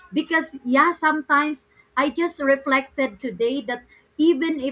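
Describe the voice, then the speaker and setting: A woman uses a raised, projected voice at a fairly slow pace. Her high pitch carries a bright, sharp tone. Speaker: live show host. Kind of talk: online interview.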